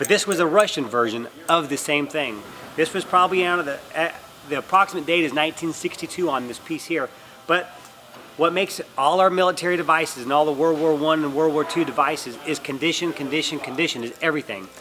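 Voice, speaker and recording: A man's fairly high voice at a very fast pace, with ordinary pitch variation over noticeable background noise. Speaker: auctioneer. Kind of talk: explaining auction terms and presenting items to camera. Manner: clear, friendly, explanatory.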